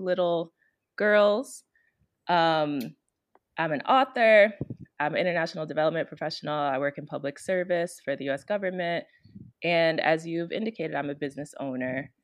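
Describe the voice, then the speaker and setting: Against a quiet background, a woman with an American accent talks at a moderate pace in a normal speaking voice, her pitch fairly low and her intonation lively. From Chicago, Illinois. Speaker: consultant and author. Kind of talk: interview.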